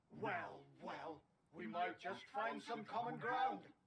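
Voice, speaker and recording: A put-on character voice sits at a middle pitch. The pace is fairly slow. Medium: video game. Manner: grandiose, theatrical.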